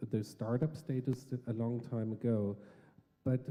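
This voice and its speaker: A man with a German accent speaks at a fairly slow pace in a dark, mellow tone. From Germany. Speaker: panel moderator. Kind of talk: panel discussion.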